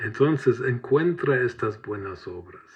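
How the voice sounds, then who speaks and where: A somewhat breathy voice with a German accent, at a very slow pace. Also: man. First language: German (speaking Spanish). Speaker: preacher. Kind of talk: sermon.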